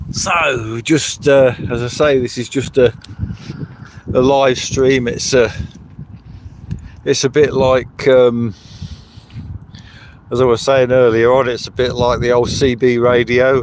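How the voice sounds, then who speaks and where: A man speaks very slowly at a medium pitch, with flat, monotone intonation and long, frequent pauses. Noticeable background noise runs underneath. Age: 70s. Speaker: livestreamer. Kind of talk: casual live stream chat. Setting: outdoors by a river. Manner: halting, with fillers.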